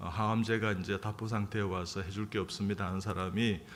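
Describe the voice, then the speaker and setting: A man talks in a fairly low pitch. There is audible echo in the room. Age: 60s. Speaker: surgeon and church elder. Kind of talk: sermon. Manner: halting, many fillers.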